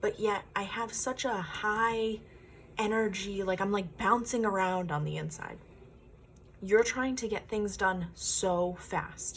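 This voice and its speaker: A woman with a medium pitch and a somewhat breathy voice talks at a very slow pace. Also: fairly even intonation. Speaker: tarot card reader. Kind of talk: pick-a-card tarot reading.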